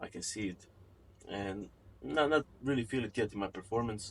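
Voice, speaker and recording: Speaking at a fairly quick pace, a man with a non-native accent uses a fairly low pitch and ordinary pitch variation. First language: not English. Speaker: fitness vlogger. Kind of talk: casual vlog talk to camera. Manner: unscripted, occasionally halting.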